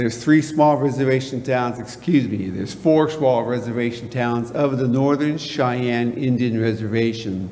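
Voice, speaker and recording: A medium-pitched man at a moderate pace with ordinary pitch variation, amid noticeable background noise and audible room echo. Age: 60s. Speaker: retired police officer, guest speaker. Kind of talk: guest talk in church. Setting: church congregation.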